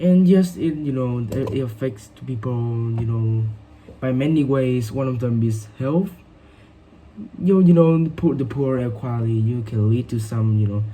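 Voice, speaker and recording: Speaking with a Vietnamese accent, a man talks at a medium pitch and a moderate pace. His pitch varies normally, and room echo is audible. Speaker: English learner. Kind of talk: speaking exam practice. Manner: halting, many fillers.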